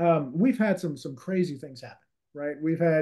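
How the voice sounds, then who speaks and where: Against a quiet background, a man with a Louisiana accent speaks at a fairly high pitch in a dark, mellow tone. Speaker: real estate investor and author. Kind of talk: interview.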